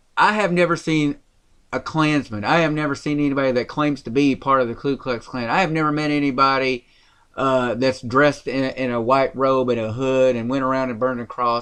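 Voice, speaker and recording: In a Tennessee accent, a man talks at a fairly quick pace and a medium pitch. His pitch varies in an ordinary way. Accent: Southern US, Tennessee. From rural Tennessee. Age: 30s. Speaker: podcast host. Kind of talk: political podcast discussion. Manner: animated.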